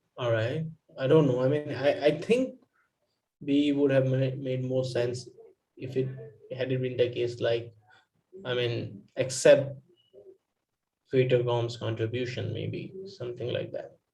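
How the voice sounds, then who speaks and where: A man's somewhat breathy voice, dark and mellow in tone, at a fairly slow pace with fairly even intonation, long, frequent pauses, and audible room echo. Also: medium pitch for a man. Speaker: exam prep student. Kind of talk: casual study discussion over video call. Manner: halting, many fillers.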